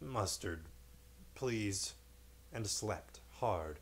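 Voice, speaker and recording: Mumbling in a put-on character voice, a man speaks with a very deep, low pitch and very wide pitch swings over clear background noise. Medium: read story. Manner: sleepy, mumbling.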